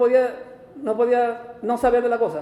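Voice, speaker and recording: The man's voice sits at an extremely high pitch. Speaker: pastor. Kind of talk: sermon. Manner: fast.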